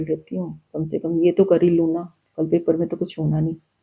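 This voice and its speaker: A woman's somewhat breathy, fairly low-pitched voice moves along at a moderate pace. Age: 60s. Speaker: spiritual guest sharing her experiences. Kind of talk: personal testimony in a podcast interview. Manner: animated storytelling.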